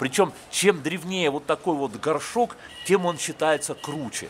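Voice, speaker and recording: Light background noise sits behind the speaker. He is a man talking at a moderate pace. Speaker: travel vlogger. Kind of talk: casual vlog chat. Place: street. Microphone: phone near.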